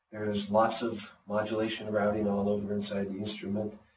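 A man with a fairly low pitch is heard with audible room echo and light background noise. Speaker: synthesizer designer presenting his own instrument. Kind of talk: product demonstration. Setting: low-quality video recording with somewhat degraded audio. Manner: monotone, subdued; informal, explanatory, with filler words. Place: studio.

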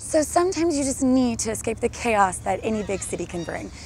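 A woman talks fairly quickly in a high pitch, her intonation lively, with noticeable background noise around her. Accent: American. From Texas. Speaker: travel TV host. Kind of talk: on-camera travel presenting. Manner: upbeat, animated. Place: street.

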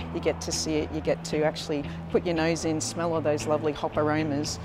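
Noticeable background noise runs under the voice. The pace is fairly quick. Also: woman. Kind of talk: interview answer. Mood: friendly, smiling. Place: factory.

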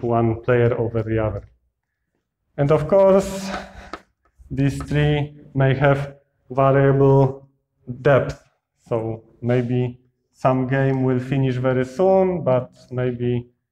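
A dark, mellow tone at a very slow pace, with ordinary pitch variation and long, frequent pauses. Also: man. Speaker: lecturer. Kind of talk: lecture. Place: classroom.

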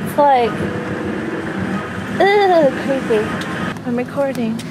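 The speech moves at a very slow pace, with a dry sound and no echo. Loud background noise is present. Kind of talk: casual bickering chat. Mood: teasing, mildly annoyed. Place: car. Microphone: phone near.

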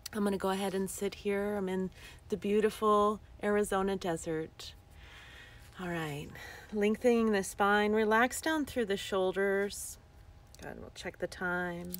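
A woman speaks in a soothing tone with fairly even intonation and long, frequent pauses, the sound dry with no echo. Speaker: yoga teacher. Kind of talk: guided breathing meditation, live-streamed with viewers greeting in. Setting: outdoors in the desert, livestream. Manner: slow, soothing breath cues with long pauses; gently repetitive, affirming mantra-like phrasing. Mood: calm, soothing. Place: open country. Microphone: phone near.

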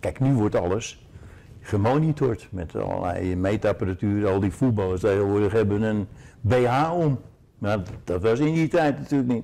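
A man at a moderate pace, fairly low in pitch, with a dark, mellow tone. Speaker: former football player or coach. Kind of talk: interview answer. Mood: relaxed, reminiscing, humorous. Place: home room. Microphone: lapel.

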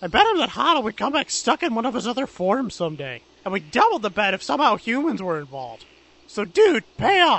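At a fairly quick pace, a man with an extremely high pitch makes very wide pitch swings. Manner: casual, surfer-like, says "dude".

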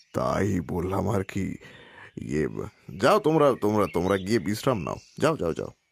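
Putting on a character voice, a man speaks low with vocal fry, a slightly husky edge and very wide pitch swings at a moderate pace.

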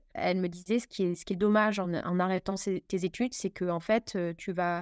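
An unremarkable speaking voice moves at a fairly quick pace with fairly even intonation. The recording is very clean and dry, with a silent background and a close sound with no echo. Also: woman. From Paris, France. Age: 40s. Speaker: bakery franchise manager. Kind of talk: interview conversation.

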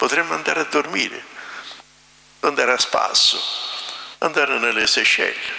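A man speaks with long, frequent pauses at a very even loudness, with audible room echo around him. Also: moderate pace. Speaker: priest. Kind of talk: sermon. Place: church. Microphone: podium.

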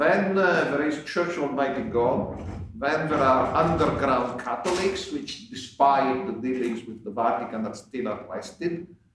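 Over noticeable background noise and audible room echo, a man with an Italian accent talks at a fairly slow pace with hardly any pauses. His pitch is fairly high and his intonation lively. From Italy. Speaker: scholar and online magazine founder, panel moderator. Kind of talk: conference talk. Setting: conference panel with microphones. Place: hall. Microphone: podium.

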